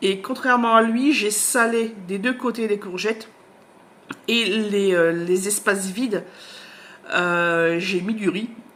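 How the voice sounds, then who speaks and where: A woman's medium-pitched voice at a very slow pace, with long, frequent pauses and ordinary pitch variation. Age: 40s. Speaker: book vlogger. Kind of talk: casual vlog chat. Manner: hesitant, many fillers.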